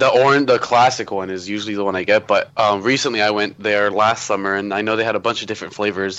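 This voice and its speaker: In an American accent, a man speaks at a very fast pace. His pitch is fairly low and he hardly pauses. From Florida, US (Tampa area). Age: young. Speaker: theme park vlogger. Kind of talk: casual chat. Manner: animated.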